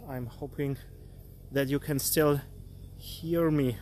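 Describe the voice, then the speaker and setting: A man with a non-native accent at a very slow pace. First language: not English. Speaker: artist and art career coach. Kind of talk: live stream talk. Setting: live stream. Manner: halting, with frequent fillers.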